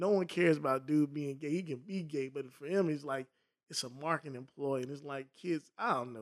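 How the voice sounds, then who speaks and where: The tone is animated and the pace fairly quick. Pitch variation is ordinary. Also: man. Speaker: podcast co-host. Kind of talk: heated argument, casual banter. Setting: podcast studio. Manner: animated, interjecting, overlapping.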